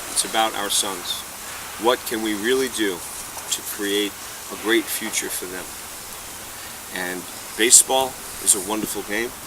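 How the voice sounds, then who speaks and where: Against noticeable background noise, a man with a fairly low pitch speaks with long, frequent pauses. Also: moderate pace. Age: 60s. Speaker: baseball coach. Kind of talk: casual chat. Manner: animated.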